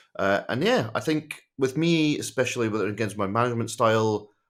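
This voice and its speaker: Lively intonation from a man at a moderate pace, in a very clean recording with a silent background. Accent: Scottish. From Scotland. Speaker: tech executive advisor. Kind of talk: podcast interview. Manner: casual, conversational.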